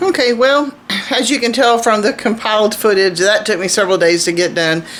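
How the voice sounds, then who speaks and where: Fairly high-pitched, lively speech from a woman at a fairly quick pace, very even in loudness, with noticeable background noise. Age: 60s. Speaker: homesteading vlogger. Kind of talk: casual vlog talk to camera. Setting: outdoors. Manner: halting, with repeated words and fillers.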